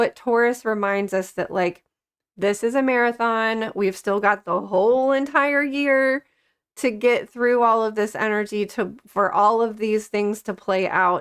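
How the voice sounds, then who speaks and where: Over a quiet background, a woman with a fairly high pitch speaks at a fairly slow pace. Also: ordinary pitch variation. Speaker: astrology and tarot channel host. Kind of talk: casual astrology forecast talk. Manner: animated, halting with many fillers.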